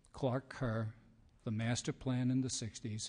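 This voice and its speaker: With a New York accent, this man keeps to a moderate pace. His pitch is medium and his intonation fairly even. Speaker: higher education policy expert. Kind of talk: testimony.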